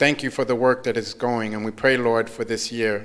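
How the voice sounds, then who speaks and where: A man is speaking. The background is quiet. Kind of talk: fervent prayer. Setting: church. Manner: earnest, rhythmic, fervent. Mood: reverent, calm. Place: church. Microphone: handheld.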